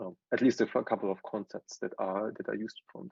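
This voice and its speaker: In a German accent, a man speaks with a dry, close sound and no echo. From southwestern Germany. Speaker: tech entrepreneur and consultant. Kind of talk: presentation. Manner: halting, many fillers.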